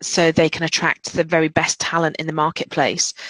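In a British accent, a woman with a fairly low pitch speaks at a moderate pace, recorded dry and close with no echo. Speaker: recruitment director. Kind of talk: webinar presentation. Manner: hesitant, many fillers.

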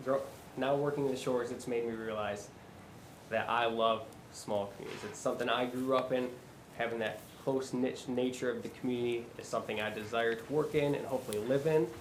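A man speaks very fast with a Michigan accent, his pitch medium and his intonation fairly even. Audible room echo and noticeable background noise fill the recording. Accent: US Midwest (Michigan). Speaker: job candidate for city administrator. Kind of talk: job interview.

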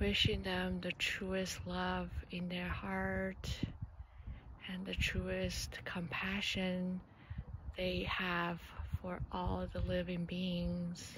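A woman speaks in a calm, warm tone at a very slow pace with long, frequent pauses, in a dry sound with no echo and light background noise. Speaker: meditation guide. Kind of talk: guided meditation. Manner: slow, soothing, gentle with long pauses; calm, warm, encouraging. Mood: calm, gentle, warm. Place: open country. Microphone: phone near.

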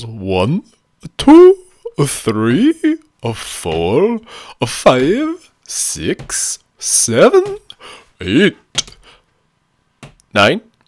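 A put-on character voice at a very slow pace. Long pauses come often. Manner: slow, deliberate, counting.

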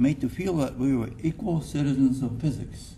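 A man with a dark, mellow tone and vocal fry speaks at a fairly slow pace with ordinary pitch variation. Light background noise can be heard. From Japan. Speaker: retired physics professor. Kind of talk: acceptance speech. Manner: halting. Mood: reflective, warm. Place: hall. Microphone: podium.

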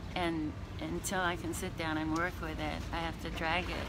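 A woman speaks over noticeable background noise. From Tucson, Arizona. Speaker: homeless service user. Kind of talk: casual on-location interview. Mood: grateful, earnest. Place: street. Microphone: phone near.

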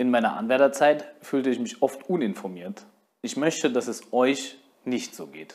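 A man with a mid-range pitch talks at a medium tempo, his intonation lively. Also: big swings in loudness. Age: 20s. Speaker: union youth representative and election candidate; election candidate. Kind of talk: campaign statement. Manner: formal. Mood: earnest, friendly appeal. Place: studio. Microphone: lapel.

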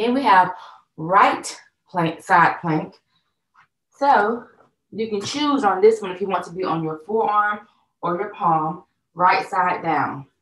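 A woman talks fairly slowly, and the room's echo can be heard around her. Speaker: fitness instructor. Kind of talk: tutorial. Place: home room. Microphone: camera far.

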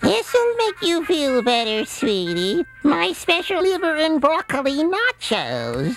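Over background music, a woman speaks at a fairly slow pace with hardly any pauses and very even loudness. Her high voice moves in very wide pitch swings. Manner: sweet, doting.

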